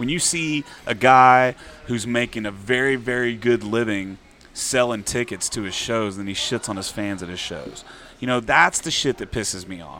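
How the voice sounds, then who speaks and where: In a Texan accent, a man talks at medium pitch and a moderate pace with ordinary pitch variation. His loudness swings widely over noticeable background noise. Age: 40s. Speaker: singer-songwriter. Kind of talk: casual chat. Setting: bar venue.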